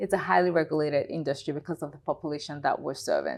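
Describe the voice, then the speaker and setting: The recording is very clean, with a silent background. A woman with a Nigerian accent speaks at a fairly low pitch with fairly even intonation. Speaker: health tech founder and CEO. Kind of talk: interview.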